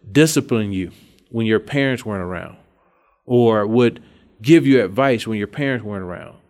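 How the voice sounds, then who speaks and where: With an Alabama accent, a man talks at a moderate pace and with ordinary pitch variation. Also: very clean recording, silent background. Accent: Southern US (Alabama). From Alabama, US South. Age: 30s. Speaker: state politician. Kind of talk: interview.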